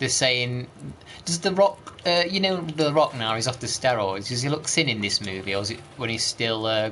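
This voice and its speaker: There is noticeable background noise behind a man with an East Midlands accent. He speaks at a moderate pace and medium pitch with lively intonation. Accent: East Midlands accent, considered northern. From East Midlands, England. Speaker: video game streamer. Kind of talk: casual live-stream chat with gameplay commentary.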